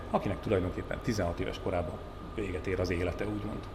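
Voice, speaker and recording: A man talks very fast at a fairly low pitch with ordinary pitch variation, his voice somewhat breathy against audible room echo. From Hungary, Borsod-Abaúj-Zemplén county. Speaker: journalist and TV talk show host. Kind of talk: casual chat.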